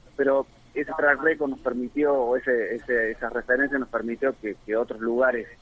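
Fairly even intonation at a fairly slow pace, with noticeable background noise. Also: man. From Argentina, Córdoba province (Río Cuarto). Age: 50s. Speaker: tech company founder. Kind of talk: interview.

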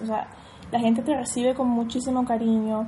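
A woman speaks at a moderate pace in a high pitch with a dark, mellow tone. Her intonation is monotone and flat. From Venezuela, Caracas. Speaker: Venezuelan emigrant. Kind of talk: casual chat.

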